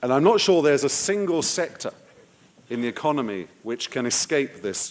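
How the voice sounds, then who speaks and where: With an English accent, a man talks at a moderate pace and medium pitch, his pitch swinging very widely. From England. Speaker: political analyst and advisor. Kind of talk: conference talk.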